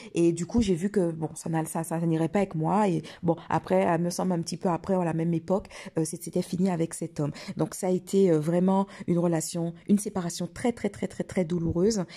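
A woman's dark, mellow voice, fairly low in pitch, with fairly even intonation at a fairly quick pace. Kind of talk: personal testimony. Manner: hesitant, many fillers and repetitions.

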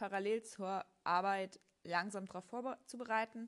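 Bright and sharp in tone, a woman speaks at a very slow pace with a fairly high pitch and fairly even intonation. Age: 30s. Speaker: podcast host, tax adviser exam candidate. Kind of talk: solo monologue. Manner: casual with frequent fillers.

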